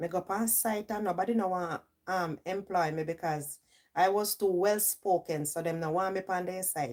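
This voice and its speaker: A woman speaks with a Jamaican accent in a fairly low pitch. Her pace is moderate and her pitch variation ordinary. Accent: Jamaican, with patois. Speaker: livestream host. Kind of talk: casual livestream chat. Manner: animated.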